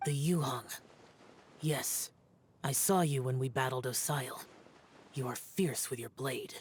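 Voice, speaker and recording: Someone puts on a character voice at a low-to-middle pitch. Long pauses come often throughout. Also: fairly slow pace. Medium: video game. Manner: terse, flat.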